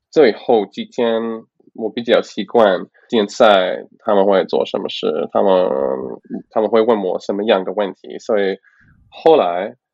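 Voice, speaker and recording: Long, frequent pauses mark a man's speech at a fairly slow pace. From Canada. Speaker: Mandarin learner, tourist. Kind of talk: interview. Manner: halting, many fillers.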